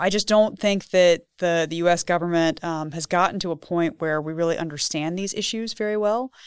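In an American accent, a woman uses an ordinary speaking voice, fairly low in pitch, with fairly even intonation and a moderate pace, in a very clean recording with a silent background and a dry, close sound with no echo. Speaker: policy researcher. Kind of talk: interview conversation. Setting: studio.

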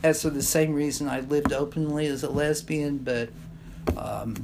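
Amid audible room echo, a woman with an American accent speaks at a moderate pace with a very deep, low pitch. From US Midwest, southeast Kansas. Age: 60s. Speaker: journalism professor and activist. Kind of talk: casual interview.

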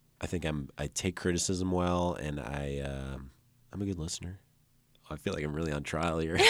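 A man with a very deep, low pitch and a US Midwestern accent, fairly even intonation and a moderate pace. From Illinois, Dixon. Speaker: musician. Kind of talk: casual chat.

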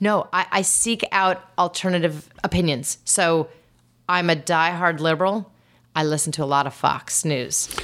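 In a very clean recording with a silent background, a woman with a fairly low voice speaks at a fairly slow pace. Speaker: marketing executive. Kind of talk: interview. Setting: in person, same city as host. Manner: energetic.

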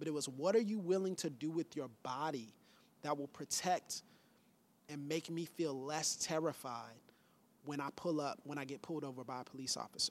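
An unremarkable speaking voice with an American accent talks at a moderate pace with ordinary pitch variation. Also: man, fairly high pitch for a man. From Pensacola, Florida. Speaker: pastor. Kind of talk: casual chat.

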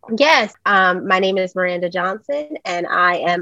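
A woman's medium-pitched voice with an American accent, a normal speaking voice, lively in intonation, at a moderate pace, with a dry, close sound and no echo. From New Jersey. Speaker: media producer and journalist. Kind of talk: interview.

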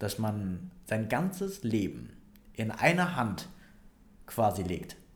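Somewhat breathy speech with lively intonation comes through with audible room echo. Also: man. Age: 20s. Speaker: financial planner and personal trainer. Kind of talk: casual interview. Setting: office. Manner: hesitant, many fillers.

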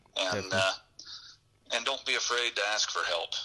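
Here a man with an American accent speaks at a moderate pace. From western Nebraska. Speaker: telephone company worker, bowhunter. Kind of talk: interview.

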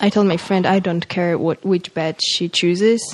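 A woman speaks at a medium pitch with a Polish accent. Her intonation is monotone and flat, and her pace is fairly slow. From Poland, Warsaw area. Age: 20s. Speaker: university student. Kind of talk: casual interview chat. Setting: home kitchen.

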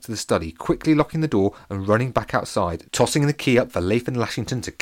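Someone reads in an unforced voice, and the intonation is lively.

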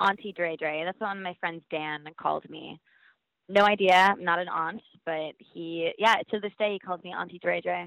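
A plain, everyday voice keeps a moderate pace and fairly even intonation but shows big swings in loudness. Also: woman, fairly low pitch for a woman. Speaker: reality show contestant guest. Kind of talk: casual chat.

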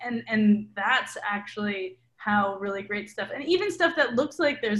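Somewhat breathy and fairly high in pitch, a woman with an American accent talks at a moderate pace. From Milwaukee, Wisconsin, US Midwest. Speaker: documentary filmmaker and journalist. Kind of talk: interview. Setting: video call.

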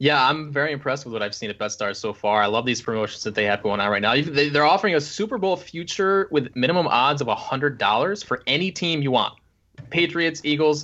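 An unremarkable speaking voice from a man, fairly high in pitch, at a fairly quick pace. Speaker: podcast co-host. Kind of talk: casual chat.

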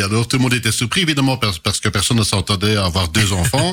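A man speaks with a bright, sharp tone. His pitch is fairly low. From Belgium, Charleroi area (Hainaut). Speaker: local politician. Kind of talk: radio interview. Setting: radio studio. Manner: halting.

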